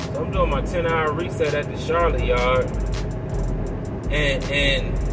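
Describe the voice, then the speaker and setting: Moderate pace from a man, music playing behind him. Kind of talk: casual vlog chat. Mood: frustrated ranting storytelling. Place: car. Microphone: phone near.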